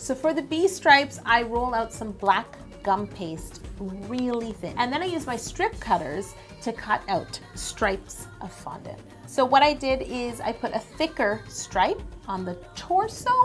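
A high-pitched woman's voice at a fairly slow pace, with big swings in loudness and faint music in the background. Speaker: cake decorating show host. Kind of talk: tutorial. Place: studio. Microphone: lapel.

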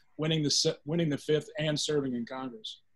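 With an American accent, a man speaks in an unremarkable speaking voice, fairly high for a man, at a moderate pace with fairly even intonation against a quiet background. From Virginia. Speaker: panel host, former state legislator; panel host, moderator. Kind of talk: panel interview. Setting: video call. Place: home room. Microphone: video call.

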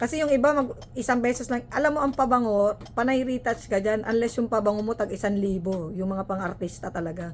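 Her pace is fairly quick. This woman shows ordinary pitch variation. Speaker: vlogger, nurse. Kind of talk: casual tutorial vlog. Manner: animated.

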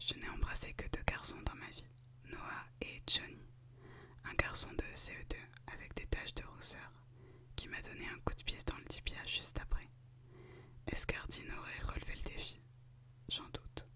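A woman whispers at a fairly slow pace with long, frequent pauses and big swings in loudness. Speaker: ASMR creator. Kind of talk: whispered audiobook-style reading of a novel. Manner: whispered, soft. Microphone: studio mic.

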